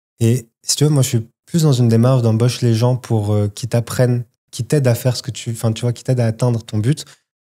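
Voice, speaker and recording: A man's dark, mellow voice at medium pitch stays monotone and flat while moving at a fairly quick pace on a very clean recording with a silent background. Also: big swings in loudness. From Morocco (Casablanca). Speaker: entrepreneur. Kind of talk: casual chat. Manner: casual, halting with fillers.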